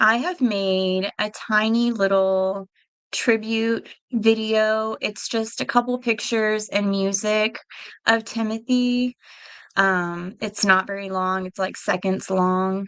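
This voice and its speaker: Very slowly, a woman speaks. Her intonation remains fairly even. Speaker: true crime livestreamer. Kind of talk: livestream commentary. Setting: live stream. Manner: halting, with stutters and fillers.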